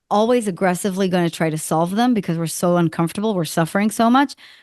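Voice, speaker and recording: Against a quiet background, a woman with an Israeli accent speaks with ordinary pitch variation, the sound dry and close with no echo. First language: Hebrew. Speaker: executive coach and author. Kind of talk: interview conversation. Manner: animated.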